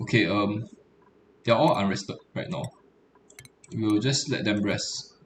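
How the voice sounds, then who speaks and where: With noticeable background noise, a man at a fairly low pitch uses lively intonation and takes long, frequent pauses. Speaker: game streamer. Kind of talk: gameplay commentary. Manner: fast; hesitant, many fillers.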